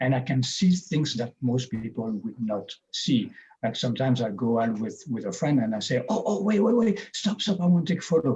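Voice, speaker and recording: Somewhat breathy and dark, mellow in tone, a man speaks at a fairly quick pace at a medium pitch with very wide pitch swings. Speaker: webinar speaker. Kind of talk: webinar talk. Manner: halting.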